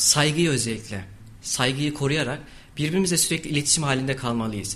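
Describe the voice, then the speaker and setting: Lively intonation from a man with a fairly high pitch, at a moderate pace, with music in the background. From Turkey, Kayseri. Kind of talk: radio interview.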